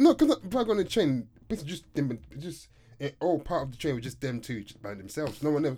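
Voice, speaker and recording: Very fast and somewhat breathy, a man's dark, mellow voice sits fairly high in pitch and swings very widely up and down. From Kent, England. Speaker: podcast co-host. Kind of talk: casual chat.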